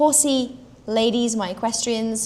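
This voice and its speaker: Somewhat breathy and fairly high in pitch, this woman's voice has a dark, mellow tone and a South African accent. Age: 30s. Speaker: health and fitness coach for horsewomen. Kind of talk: live stream talk to viewers.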